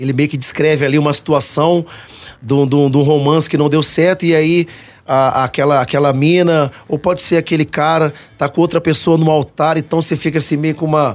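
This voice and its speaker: With an ordinary speaking voice, a man talks at a moderate pace, fairly high in pitch, his intonation fairly even. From Cuiabá, Mato Grosso, Brazil. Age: 30s. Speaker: pagode band vocalist. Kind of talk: radio interview. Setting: radio studio.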